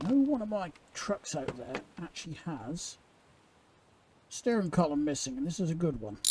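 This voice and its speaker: A man with an English accent speaks at a high pitch in a dark, mellow tone. His pitch swings very widely. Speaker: gaming YouTuber. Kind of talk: gameplay commentary. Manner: casual, hurried.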